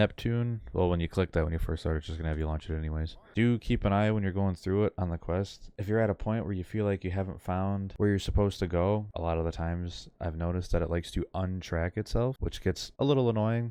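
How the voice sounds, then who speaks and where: A man's very deep, low pitch and dark, mellow tone at a very fast pace, hardly any pauses, over a quiet background. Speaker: gaming youtuber. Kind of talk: gameplay commentary. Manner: monotone.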